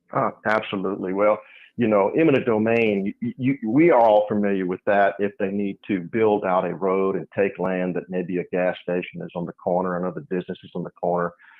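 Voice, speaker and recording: Talking at a fairly quick pace with hardly any pauses, a man has an unremarkable speaking voice, a fairly low pitch and ordinary pitch variation. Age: 60s. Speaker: landowner and businessman. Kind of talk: interview.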